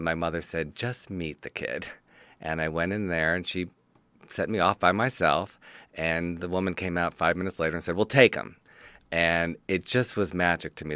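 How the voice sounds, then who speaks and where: In a very clean recording with a silent background and a dry, close sound with no echo, a man with a very deep, low pitch and a bright, sharp tone speaks at a moderate pace with an American accent. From Detroit, Michigan. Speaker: TV writer and producer. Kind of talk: interview.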